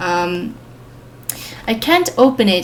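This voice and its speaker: A woman's voice carries audible room echo. Noticeable background noise is present too. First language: Swedish. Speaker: planner reviewer, vlogger. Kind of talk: product show-and-tell. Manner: hesitant, many fillers.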